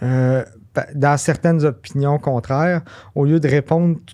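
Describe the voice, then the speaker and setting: Delivered at a fairly slow pace, the voice has a dark, mellow tone, fairly even intonation and a Quebec accent. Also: man. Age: 30s. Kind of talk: interview answer.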